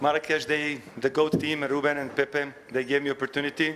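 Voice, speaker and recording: Over noticeable background noise, a man with a fairly high voice speaks at a moderate pace. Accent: Serbian. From Serbia. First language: Serbian. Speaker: racing driver. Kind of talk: press conference. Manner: halting.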